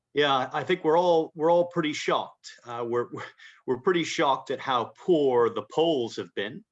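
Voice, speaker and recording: Over a quiet background, a man with an American accent speaks at a fairly high pitch and moderate pace, with ordinary pitch variation. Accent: American-sounding. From Britain, schooled in the US. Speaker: fund manager. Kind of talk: interview. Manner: halting, many repetitions.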